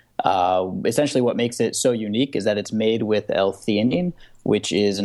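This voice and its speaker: Against a quiet background, a man with a normal speaking voice talks at a fairly low pitch and a moderate pace, with ordinary pitch variation. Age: young. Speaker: entrepreneur, beverage company founder. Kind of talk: interview.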